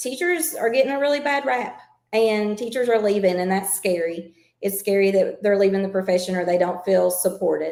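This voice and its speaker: A woman speaks with a Southern accent and lively intonation. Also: medium pitch for a woman. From Kentucky. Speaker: school administrator. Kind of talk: podcast interview.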